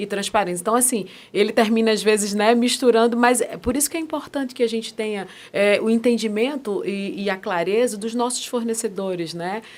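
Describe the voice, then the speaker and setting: On a very clean recording with a silent background, a woman with a Pernambuco accent talks at a fairly quick pace in a fairly high voice. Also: ordinary pitch variation. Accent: Pernambuco (northeastern Brazilian). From Brazil, Pernambuco (Recife). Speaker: ESG governance and compliance specialist. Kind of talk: podcast interview.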